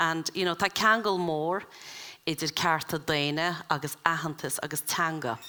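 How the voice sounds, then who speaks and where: Moderate pace in an Irish accent. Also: woman. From Ireland. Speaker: event chair. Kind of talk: introductory speech at a summer school. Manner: halting, many fillers.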